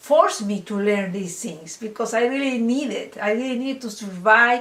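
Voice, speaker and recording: Someone with a non-native accent talks at a moderate pace with ordinary pitch variation. Noticeable background noise and audible room echo fill the recording. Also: woman, fairly high pitch for a woman. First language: not English. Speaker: online course instructor. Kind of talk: lecture. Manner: halting.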